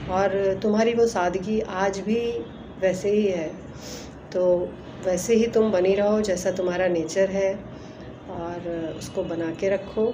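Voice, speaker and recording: Medium pitch and fairly even intonation from a woman, with audible room echo and noticeable background noise. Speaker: old hostel friend. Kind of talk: recorded video greeting.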